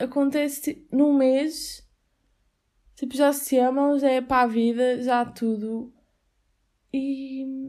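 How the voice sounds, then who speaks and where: This woman has a high pitch, a dark, mellow tone and fairly even intonation, with a European Portuguese accent. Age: 20s. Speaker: podcast host, university student. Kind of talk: casual solo podcast monologue. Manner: chatty, frequent laughter and fillers.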